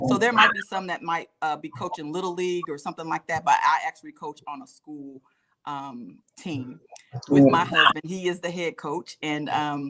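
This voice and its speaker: With an American accent and an ordinary speaking voice, a woman talks at a moderate pace and fairly low pitch, using ordinary pitch variation and big swings in loudness. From Alabama, US South. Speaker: football coach and wellness coach. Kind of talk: talk show interview. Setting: live online show.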